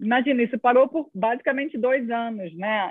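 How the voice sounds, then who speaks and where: Speaking in a Rio de Janeiro accent, a woman talks at a moderate pace in a fairly high pitch. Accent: carioca (Rio de Janeiro). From Rio de Janeiro, Brazil. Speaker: music industry association executive. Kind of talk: interview conversation. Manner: halting, many repeated words and fillers.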